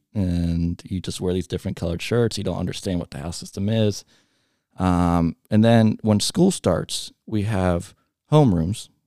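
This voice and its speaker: Very deep, low pitch from a man with a Midwestern American accent, a dark, mellow tone, ordinary pitch variation and a fairly slow pace, in a dry, close sound with no echo and a very clean recording with a silent background. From US Midwest, Cincinnati area, Ohio. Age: 20s. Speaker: high school alumni director. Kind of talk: casual interview. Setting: studio.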